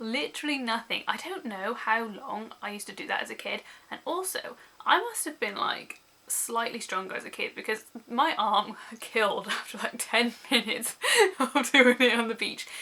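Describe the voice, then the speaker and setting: Lively intonation in a British accent at a moderate pace, with big swings in loudness and noticeable background noise. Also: woman, fairly high pitch for a woman. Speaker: book vlogger. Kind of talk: casual vlog.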